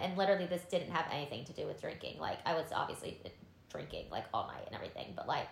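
Noticeable background noise and audible room echo surround speech delivered at a very fast pace with ordinary pitch variation. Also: woman. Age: 30s. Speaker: podcast co-host. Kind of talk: casual chat.

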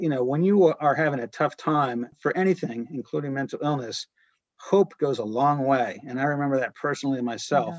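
Recorded dry and close with no echo, a man with an unremarkable speaking voice talks fairly quickly in a fairly high pitch, using ordinary pitch variation. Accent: American. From US Northeast, rural northern New Hampshire. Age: 40s. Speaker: artist, former lawyer. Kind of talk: interview.

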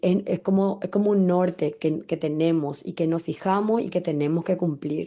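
Her intonation fairly even, a woman speaks at a fairly low pitch in a normal speaking voice. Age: 40s. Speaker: ballet dancer and dance teacher. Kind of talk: interview.

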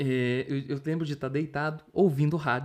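In a plain, everyday voice, a man talks at a moderate pace with a fairly high pitch. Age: 30s. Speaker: musician and teacher. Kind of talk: interview.

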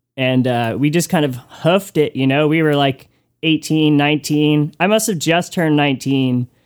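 With an unremarkable speaking voice, a man talks fairly slowly at a fairly high pitch, keeping very even loudness and ordinary pitch variation. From US Northeast, Connecticut. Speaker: musician and record maker. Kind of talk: casual interview.

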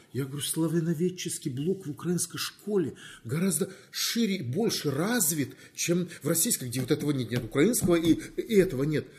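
Here a man speaks with a high pitch at a moderate pace. His intonation is lively. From Crimea, Feodosia. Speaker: university rector and professor. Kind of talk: interview.

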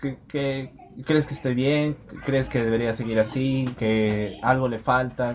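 With noticeable background noise behind him, a man speaks at a medium pitch with ordinary pitch variation. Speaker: podcast host. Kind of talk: interview. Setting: in person.

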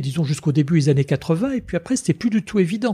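The sound is dry and close, with no echo and a silent background on a very clean recording. The tone is dark and mellow, and the pace is fairly quick. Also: man. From Tunisia. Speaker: lawyer and former member of parliament. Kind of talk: interview.

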